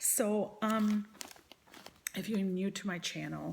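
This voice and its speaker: Using vocal fry, a woman speaks at a fairly slow pace with fairly even intonation. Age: 60s. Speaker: vlogger sharing weight-loss surgery journey. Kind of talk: personal vlog monologue. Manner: hesitant, many fillers.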